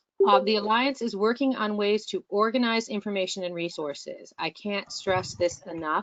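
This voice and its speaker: A woman with ordinary pitch variation, in a dry, close sound with no echo. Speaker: board liaison of an educators' association. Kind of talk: online meeting presentation. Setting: online video meeting. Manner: fast.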